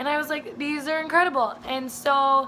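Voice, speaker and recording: Over noticeable background noise, a woman with an American accent speaks in a raised, projected voice. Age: young. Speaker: vlogger and student. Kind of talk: casual introductory vlog. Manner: animated, enthusiastic.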